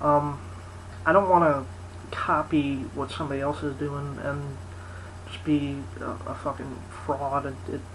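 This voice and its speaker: The speaker mumbles at a fairly slow pace, with long, frequent pauses. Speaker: video blogger. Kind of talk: casual vlog monologue. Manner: mumbling, rambling; halting, many fillers.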